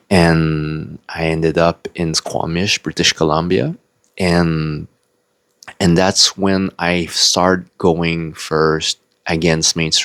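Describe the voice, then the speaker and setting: A man's very deep, low voice, monotone and flat, at a very slow pace, with a dry, close sound and no echo. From Quebec, Canada (French-speaking). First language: French. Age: 40s. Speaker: spiritual video blogger. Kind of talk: personal life story monologue. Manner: hesitant, with fillers.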